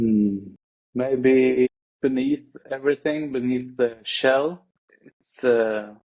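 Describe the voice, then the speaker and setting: Speaking very slowly with long, frequent pauses, a man with a non-native accent keeps a medium pitch and fairly even intonation. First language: not English. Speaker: podcast guest. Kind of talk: casual chat. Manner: halting.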